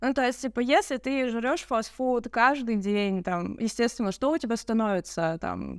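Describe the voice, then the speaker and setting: A woman with a normal speaking voice talks at a fairly high pitch and a moderate pace. Her intonation is lively, and the recording is very clean with a silent background. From Russia, Yekaterinburg. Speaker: photographer and videographer. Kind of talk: casual chat.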